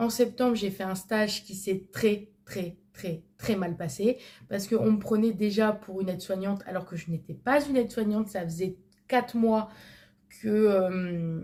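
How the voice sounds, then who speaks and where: A woman speaks fairly slowly at a medium pitch with ordinary pitch variation. Her tone is dark and mellow and somewhat breathy. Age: 20s. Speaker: vlogger. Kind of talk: casual chat. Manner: hesitant, many fillers.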